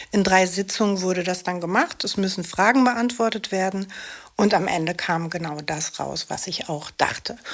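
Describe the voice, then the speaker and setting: A woman talks in an unremarkable speaking voice at medium pitch. Her pace is moderate and her pitch variation ordinary. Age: 50s. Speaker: actress and single mother with ADHD. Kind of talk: interview.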